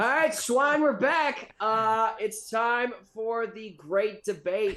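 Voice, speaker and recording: Against a quiet background, a man with a high pitch and a bright, sharp tone projects a raised voice at a very slow pace. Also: ordinary pitch variation. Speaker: podcast host. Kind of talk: casual chat.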